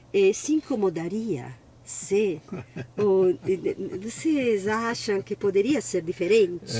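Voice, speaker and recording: The delivery is very slow, yet the intonation is lively. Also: woman. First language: Italian (speaking Portuguese). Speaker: sommelier. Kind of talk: interview.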